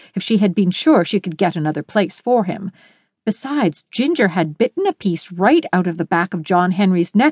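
Lively intonation marks a natural reading voice. Nothing else can be heard, as the background is quiet.

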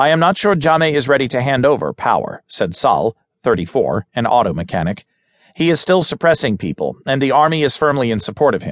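A man's fairly high-pitched, serious voice with vocal fry, very wide pitch swings and a fairly quick pace, in a dry, close sound with no echo. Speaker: audiobook narrator. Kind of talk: news reading, scripted newspaper article read aloud. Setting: studio recording. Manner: formal, steady and measured; neutral, serious, even-toned delivery.

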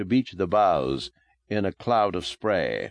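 Here a man speaks in a dramatic tone at a moderate pace. The sound is dry and close with no echo, over a quiet background. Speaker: audiobook narrator. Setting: studio recording. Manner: dramatic, atmospheric, measured and hushed, building eerie tension; formal, expressive storytelling with rising and falling intensity.

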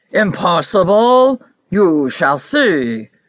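A woman uses a put-on character voice. Her pitch swings very widely. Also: medium pitch for a woman. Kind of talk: bedtime story. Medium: read story. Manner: stern, boastful.

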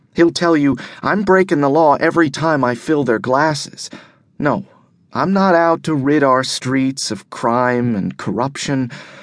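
Over a quiet background, a man with an unremarkable speaking voice talks at a fairly slow pace, with a fairly high pitch and ordinary pitch variation. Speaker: audiobook narrator. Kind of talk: dramatic first-person audiobook narration, hard-boiled noir.

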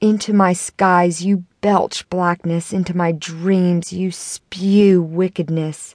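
A woman's intense voice at a very slow pace, dry and close with no echo. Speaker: audiobook narrator. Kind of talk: audiobook reading of spoken-word poetry, an anguished accusatory monologue. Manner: intense and impassioned, building bitter rhetorical force.

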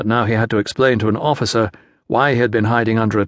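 The unforced reading voice holds a fairly even intonation.

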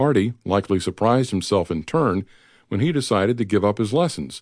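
A man with an ordinary speaking voice, fairly low pitch, lively intonation and a fairly quick pace, against a quiet background. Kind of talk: audiobook narration of a biography, read aloud. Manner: steady, measured, formal narrator.

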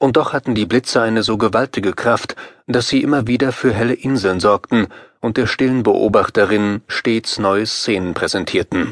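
A man's medium-pitched, unremarkable speaking voice at a moderate pace, fairly even in intonation, with a dry, close sound and no echo. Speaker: audiobook narrator. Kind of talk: dramatic scripted narration, audiobook horror story. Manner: suspenseful, vivid, building tension.

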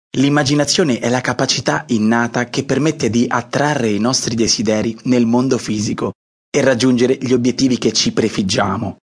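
A man with an unremarkable speaking voice, medium pitch, fairly even intonation, very even loudness and a fairly quick pace. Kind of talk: audiobook intro, motivational coaching address. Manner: warm, reassuring, direct address to listener.

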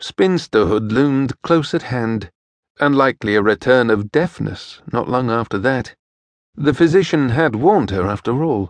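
With an ordinary speaking voice at medium pitch, a man talks at a moderate pace with lively intonation, against a quiet background and a dry, close sound with no echo. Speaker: audiobook narrator. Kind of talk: dramatic audiobook narration of a historical romance. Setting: studio.

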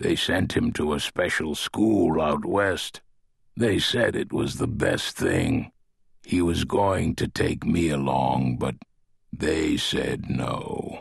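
Raspy and very slow, this put-on character voice has lively intonation and very even loudness. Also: man, very deep, low pitch for a man. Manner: proud, guarded, gruff.

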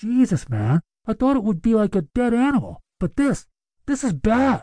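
The pitch sits fairly high. It is delivered as a put-on character voice. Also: moderate pace. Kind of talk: casual, colloquial.

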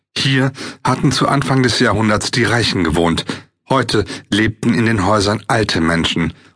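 At a moderate pace and fairly low pitch, a man talks in an unremarkable speaking voice, his pitch varying in an ordinary way. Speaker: audiobook narrator. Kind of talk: audiobook narration, dramatic and atmospheric reading of a fiction text.

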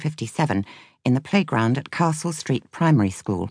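In a dry, close sound with no echo and a quiet background, a woman speaks with vocal fry and very wide pitch swings. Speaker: audiobook narrator. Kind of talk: audiobook narration of a memoir.

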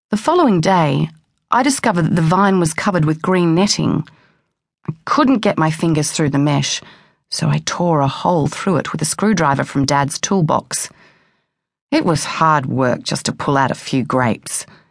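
Against a quiet background, a woman with a very deep, low pitch speaks at a moderate pace with lively intonation and very even loudness. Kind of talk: audiobook narration, first-person memoir reading. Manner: measured, intimate, plain-spoken.

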